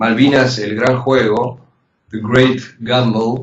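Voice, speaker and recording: A man with a medium pitch talks in an ordinary speaking voice. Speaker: journalist and war veteran. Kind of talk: interview.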